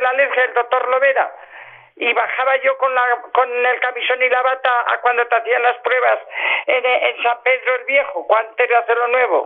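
This woman's pitch is high and her intonation monotone and flat. She keeps a moderate pace. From La Rioja, Spain. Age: 70s. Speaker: host's mother. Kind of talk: personal storytelling.

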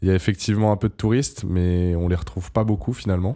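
This man's voice has a very deep, low pitch and a dark, mellow tone. The recording is very clean, with a silent background. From southern France, Montpellier. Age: 20s. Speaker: podcast guest. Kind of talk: casual interview.

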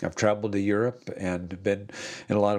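In a very clean recording with a silent background, a man with an American accent speaks at a moderate pace and a fairly low pitch, his intonation monotone and flat. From US Midwest. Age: 60s. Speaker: pastor and podcast host. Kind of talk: devotional monologue.

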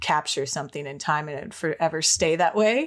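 In a very clean recording with a silent background, a woman with an American accent and an unremarkable speaking voice talks at a moderate pace, her fairly low pitch showing ordinary variation. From Minnesota, US. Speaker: freelance artist. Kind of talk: interview.

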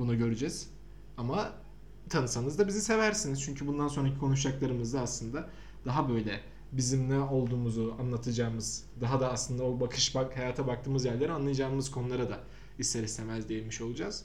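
A man with a medium-pitched, somewhat breathy voice talks at a very fast pace with ordinary pitch variation, and audible room echo is present. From Samsun, Turkey. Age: 20s. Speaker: podcast host, digital marketer. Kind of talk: casual chat.

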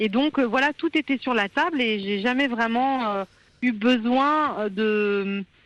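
A very slow pace with ordinary pitch variation, in a dry, close sound with no echo against a quiet background. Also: woman. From France (born in India, adopted as baby). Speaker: journalist and author. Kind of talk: radio interview.

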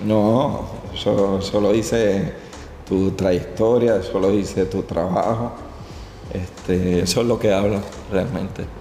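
A man at a very slow pace and fairly low pitch, fairly even intonation, long, frequent pauses, audible room echo and noticeable background noise. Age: 40s. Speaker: podcast host and barber. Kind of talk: interview.

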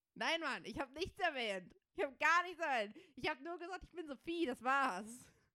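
A woman speaks in a raised, projected voice with a bright, sharp tone, high pitch, lively intonation and a moderate pace. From Germany. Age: 20s. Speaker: podcast co-host. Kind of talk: casual chat.

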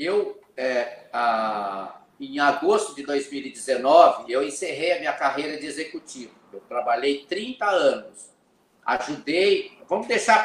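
A man with a fairly high voice speaks with lively intonation, his loudness rising and falling sharply. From Rio Grande do Sul border region, Brazil. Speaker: business mentor, former glass industry executive. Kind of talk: interview.

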